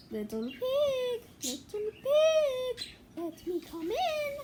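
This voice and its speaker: Over loud background noise, a woman puts on a squeaky character voice at an extremely high pitch. She speaks very slowly, her pitch swinging very widely. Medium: read story. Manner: roaring.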